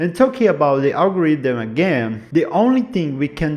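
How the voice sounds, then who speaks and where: A man with a non-native accent, talking at a moderate pace. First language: not English. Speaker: YouTube commentator. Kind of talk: casual explainer monologue.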